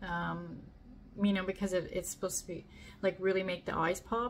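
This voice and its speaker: The voice belongs to a woman and sounds somewhat breathy. Light background noise is present. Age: 50s. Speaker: beauty product reviewer. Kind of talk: casual product review to camera. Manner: casual, hesitant with fillers. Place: home room.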